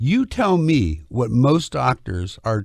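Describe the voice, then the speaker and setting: Somewhat breathy, a man's medium-pitched voice swings very widely in pitch in a very clean recording with a silent background. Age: 60s. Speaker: cartoon creator and political commentator. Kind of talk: heated debate. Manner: animated; interrupting, insistent.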